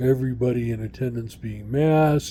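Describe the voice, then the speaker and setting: A man talks at a medium pitch and a moderate pace, his tone dark and mellow. His intonation stays fairly even, and his voice is somewhat breathy. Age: 60s. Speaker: vlogger. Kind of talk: casual video diary. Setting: outdoors. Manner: halting, many fillers.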